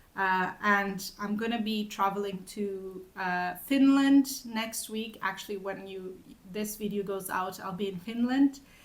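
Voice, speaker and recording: In a room with audible echo, a woman speaks at a fairly slow pace, with fairly even intonation and hardly any pauses. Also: medium pitch for a woman. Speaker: knitting vlogger. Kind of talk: casual chat. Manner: halting.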